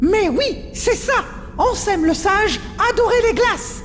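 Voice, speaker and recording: A put-on character voice talks at a fairly slow pace. Background noise is clearly heard. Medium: short film. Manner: earnest.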